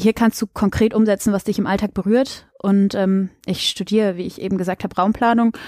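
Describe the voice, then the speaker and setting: A woman talks at a fairly quick pace with a dark, mellow tone and medium pitch, her intonation monotone and flat. The very clean recording has a silent background and a dry, close sound with no echo. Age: 20s. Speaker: local council candidate and student. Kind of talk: interview.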